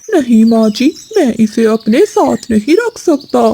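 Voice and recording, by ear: A cartoonish character voice, female-sounding and fairly high in pitch, carries the line. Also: moderate pace.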